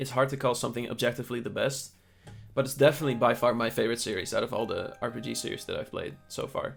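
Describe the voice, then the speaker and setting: A man speaks at a very fast pace while music plays in the background. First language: not English. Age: 20s. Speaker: gaming youtuber. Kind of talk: casual commentary reading survey answers.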